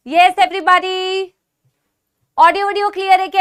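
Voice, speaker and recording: Her voice is extremely high in pitch, and the woman talks at a fairly quick pace with lively intonation. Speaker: online teacher. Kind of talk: online class lecture. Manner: speaking softly on purpose.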